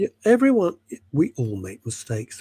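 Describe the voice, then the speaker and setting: A somewhat breathy man with a British accent, in a dry, close sound with no echo. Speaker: talk show co-host. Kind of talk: casual chat.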